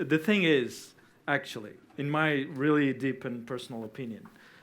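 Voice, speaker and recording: The pace is moderate. The speaker is a man with a Portuguese accent. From Portugal. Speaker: debate panelist. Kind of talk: debate. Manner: halting.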